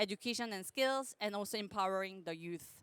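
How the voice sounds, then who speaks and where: The speaker has a Korean accent, ordinary pitch variation, and a moderate pace. The recording is very clean with a silent background and a dry, close sound with no echo. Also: woman. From South Korea. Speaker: panelist from international organisation. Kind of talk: panel discussion.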